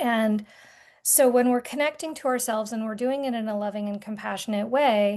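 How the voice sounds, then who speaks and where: In an American accent, a woman with a plain, everyday voice speaks at a fairly quick pace and fairly high pitch with fairly even intonation against a quiet background. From rural Vermont, US. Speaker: artist and art therapy guide. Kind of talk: podcast interview conversation.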